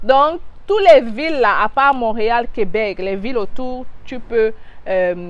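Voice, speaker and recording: Animated and lively in intonation, a woman speaks with a fairly high pitch. She keeps to a fairly slow pace. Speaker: immigration advice youtuber. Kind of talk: casual tutorial vlog.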